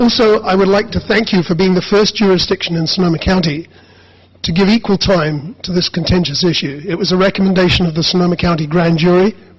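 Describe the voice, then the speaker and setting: A man's high-pitched voice at a very fast pace, fairly even in intonation, over noticeable background noise. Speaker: activist. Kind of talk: public comment presentation. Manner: formal.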